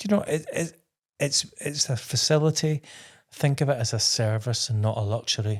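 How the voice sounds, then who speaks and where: A man with a west of Scotland accent, somewhat breathy, fairly high in pitch, with lively intonation and a moderate pace. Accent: Scottish (west of Scotland). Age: 60s. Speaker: interior designer and TV presenter. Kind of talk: interview.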